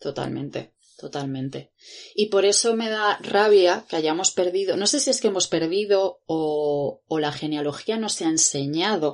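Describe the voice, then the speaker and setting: A woman's fairly low voice with lively intonation at a fairly slow pace, against a quiet background. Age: 30s. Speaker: podcast co-host, independent researcher. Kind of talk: casual chat.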